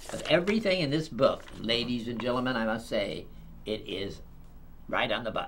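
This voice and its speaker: Moderate pace and lively intonation, with audible room echo. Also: man, medium pitch for a man. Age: 80s+. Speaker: TV talk show host. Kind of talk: casual interview chat.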